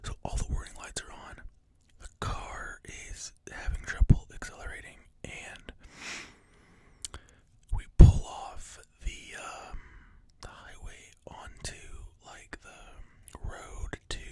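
Whispering and soft-spoken, a man speaks at a very slow pace with long, frequent pauses and big swings in loudness, the sound dry with no echo and noticeable background noise behind him. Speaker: vlogger. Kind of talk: casual storytelling vlog chat. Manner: soft close-mic whisper. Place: home room. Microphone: studio mic.

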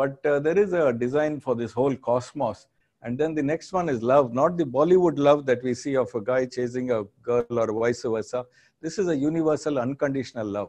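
A man speaks in a dark, mellow tone at a fairly quick pace. His pitch variation is ordinary. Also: quiet background. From India, Andhra Pradesh. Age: 60s. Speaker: business school professor. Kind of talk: lecture. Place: studio. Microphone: lapel.

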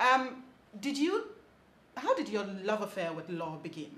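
Audible room echo behind a woman speaking at a moderate pace. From Ghana. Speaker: TV show host. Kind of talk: interview. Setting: outside the studio. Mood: warm, upbeat. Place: home room.

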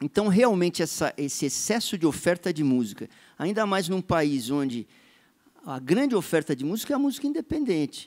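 High-pitched man with very wide pitch swings, dry and close, with no echo. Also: moderate pace. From São Paulo, Brazil. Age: 50s. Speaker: musician and composer. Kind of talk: panel discussion.

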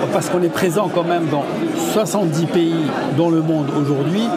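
A man at a moderate pace over crowd noise in the background. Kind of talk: interview answer. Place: hall. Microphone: lapel.

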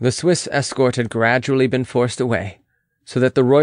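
Reading aloud in a natural voice, with fairly even intonation over a quiet background

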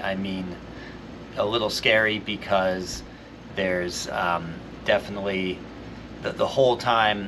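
Fairly low-pitched man at a fairly slow pace, fairly even intonation, noticeable background noise underneath. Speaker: teacher. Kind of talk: tutorial. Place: workshop.

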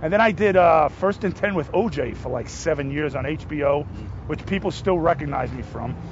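Against noticeable background noise, a man with a New Jersey accent sounds animated, his fairly high pitch and lively intonation moving at a moderate pace. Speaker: actor. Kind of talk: casual interview. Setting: outdoors.

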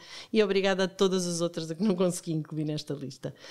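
An unremarkable speaking voice comes through on a very clean recording with a silent background. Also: woman. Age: 50s. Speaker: podcast host. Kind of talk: interview hosting.

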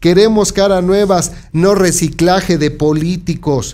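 With a central Mexican accent, a man speaks fairly slowly in a high pitch with a dark, mellow tone. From Mexico, San Martín Texmelucan, Puebla; Puebla, Mexico. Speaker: local news presenter; news presenter. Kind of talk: news commentary. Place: studio. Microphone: studio mic.

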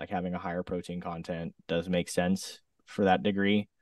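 A man with an American accent speaks at a moderate pace in an unremarkable speaking voice, with fairly even intonation. The sound is dry with no echo, over a quiet background. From US West Coast, southern Oregon. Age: 30s. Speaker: singer-songwriter and DJ; DJ. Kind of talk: casual interview chat. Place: home room. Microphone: studio mic.

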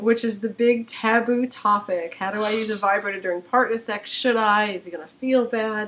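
A woman speaks in a gravelly voice with a fairly bright tone and fairly even intonation. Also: medium pitch for a woman, moderate pace.

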